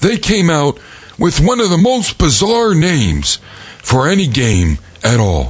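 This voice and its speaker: A man at a fairly slow pace, with very wide pitch swings and noticeable background noise. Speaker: podcast host. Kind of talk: casual banter. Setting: studio. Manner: joking, comedic.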